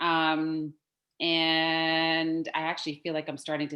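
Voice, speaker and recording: A woman is talking. She speaks with a very deep, low pitch. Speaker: real estate market presenter. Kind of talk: office meeting presentation.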